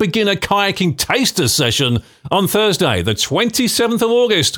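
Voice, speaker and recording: A man's high-pitched voice with very wide pitch swings. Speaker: podcast host. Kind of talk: scripted local news podcast, casual chat. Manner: animated, upbeat.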